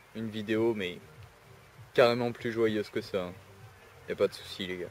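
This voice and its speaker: Over music in the background, a man speaks at a moderate pace in a fairly low, monotone voice with flat intonation. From southern France, Istres (Provence). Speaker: vlogger. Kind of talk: casual vlog. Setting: outdoors in a park. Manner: hesitant, many fillers and repetitions.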